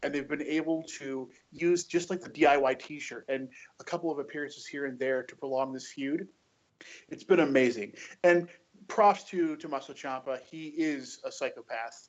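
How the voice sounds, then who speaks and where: A plain, everyday voice from a man with an American accent, fairly high in pitch, ordinary in pitch variation, at a moderate pace with big swings in loudness. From US. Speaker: wrestling podcast panelist. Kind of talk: casual chat. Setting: remote call.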